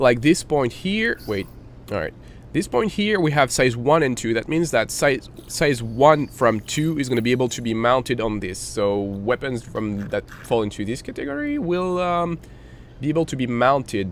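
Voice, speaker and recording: Lively intonation from a man at medium pitch, moving at a moderate pace. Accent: non-native. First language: not English. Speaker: gaming tutorial youtuber. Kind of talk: tutorial. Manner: hesitant, many fillers.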